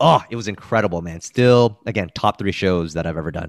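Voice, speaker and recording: Captured on a very clean recording with a silent background and a dry, close sound with no echo, a man speaks with a plain, everyday voice at a fairly low pitch and with ordinary pitch variation. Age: 30s. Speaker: stand-up comedian and teacher. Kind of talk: casual interview chat.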